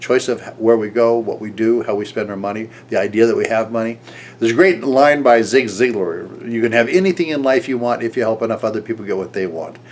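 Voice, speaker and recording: A man at a very fast pace with hardly any pauses, medium pitch, ordinary pitch variation, and noticeable background noise. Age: 70s. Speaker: business and marketing coach. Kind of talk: motivational talk to camera. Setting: recorded video to camera. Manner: conversational with frequent fillers and restarts.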